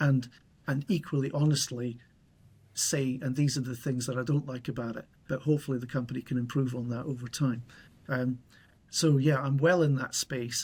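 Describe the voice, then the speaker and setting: Man's medium-pitched, somewhat breathy voice in a monotone, flat intonation at a moderate pace, on a very clean recording with a silent background. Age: 60s. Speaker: YouTuber on solar energy, retired. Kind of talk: interview conversation. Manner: clear, measured.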